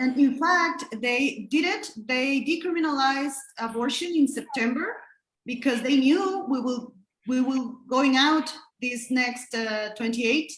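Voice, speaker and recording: A woman with a Spanish accent, high-pitched, with ordinary pitch variation and a fairly slow pace. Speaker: abortion rights activist. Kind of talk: panel discussion. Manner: halting.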